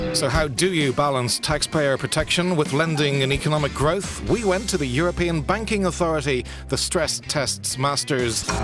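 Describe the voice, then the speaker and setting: Music plays in the background as a man speaks at a fairly high pitch with very even loudness. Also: lively intonation, moderate pace, hardly any pauses. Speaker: voice actor. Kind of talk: corporate narration. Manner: determined, driven.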